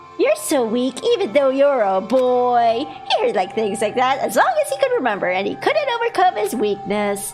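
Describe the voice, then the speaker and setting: Over clear music in the background, a woman puts on a high-pitched character voice at a moderate pace. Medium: game stream. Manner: reading on-screen text aloud.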